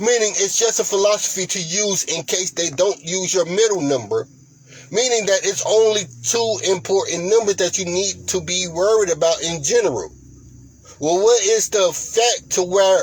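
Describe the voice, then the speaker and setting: Over noticeable background noise, a man talks in a high voice with ordinary pitch variation. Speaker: lottery strategy channel host. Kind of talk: tutorial.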